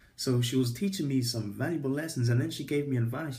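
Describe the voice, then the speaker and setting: This man's voice has a dark, mellow tone and is somewhat breathy. He talks at a very fast pace with ordinary pitch variation. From England. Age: 20s. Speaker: vlogger. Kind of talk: casual storytelling vlog. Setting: recording on iPad. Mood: animated storytelling, frank. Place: home room. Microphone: phone near.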